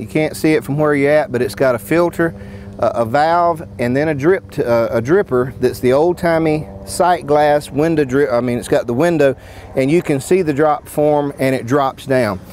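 Recorded dry with no echo and light background noise, a man talks at a moderate pace with ordinary pitch variation. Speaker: sawmill product demonstrator. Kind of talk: product demo explanation. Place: open country. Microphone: lapel.

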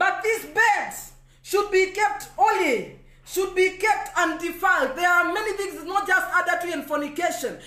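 The voice is raised and projected, with a bright, sharp tone and fairly even intonation. It moves at a moderate pace, and room echo is audible. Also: man. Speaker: evangelist preacher. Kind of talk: sermon. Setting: Facebook live stream. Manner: preacherly, emphatic.

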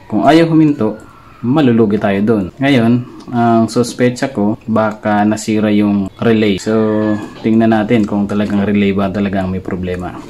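At a moderate pace, a man speaks in an ordinary speaking voice with fairly low pitch, ordinary pitch variation and light background noise. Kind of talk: tutorial. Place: home room. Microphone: phone near.

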